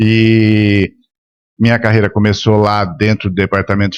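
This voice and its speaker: A man's fairly low voice at a fairly slow pace, dry and close with no echo. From São Paulo, Brazil. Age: 60s. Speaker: media and marketing executive. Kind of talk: interview podcast. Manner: halting, repeats words.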